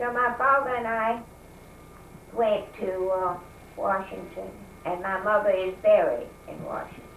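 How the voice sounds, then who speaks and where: Amid noticeable background noise, a woman with a Southern US accent and a fairly high pitch talks at a fairly slow pace, using fairly even intonation, long, frequent pauses and big swings in loudness. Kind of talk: interview answer.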